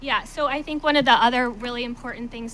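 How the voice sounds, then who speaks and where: A woman's intonation stays fairly even while noticeable background noise goes on around her. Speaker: literacy coach. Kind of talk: presentation. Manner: fast; hesitant, many fillers.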